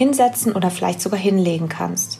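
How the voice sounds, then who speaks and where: A woman's medium-pitched voice, soothing and calm in tone, amid noticeable background noise. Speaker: podcast host and wellness coach. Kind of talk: guided meditation. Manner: slow, soothing, calm; gentle, dreamy, soft-spoken.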